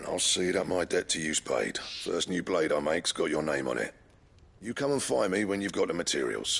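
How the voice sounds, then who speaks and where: Putting on a character voice, a man speaks at a fairly quick pace, fairly low and raspy. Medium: video game. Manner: brisk, affectionate.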